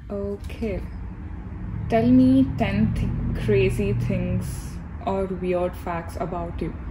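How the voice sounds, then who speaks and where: A woman speaks at a very slow pace with an Indian accent. Noticeable background noise runs behind her. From India, Hyderabad. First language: Telugu. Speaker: YouTuber, graduate student. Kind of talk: casual Q&A vlog. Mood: relaxed, chatty. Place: hall. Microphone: phone near.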